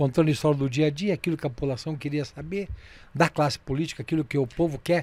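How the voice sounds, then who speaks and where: In a very clean recording with a silent background, a man speaks very fast in a fairly high, somewhat breathy voice with fairly even intonation. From southern Brazil, União da Vitória (Paraná). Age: 70s. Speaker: veteran radio broadcaster. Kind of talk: interview.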